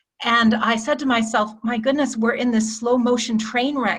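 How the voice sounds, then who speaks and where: A woman speaks at a moderate pace in an American accent. Hers is a plain, everyday voice, fairly high in pitch. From United States. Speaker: climate policy expert. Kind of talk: presentation in online meeting. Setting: video call.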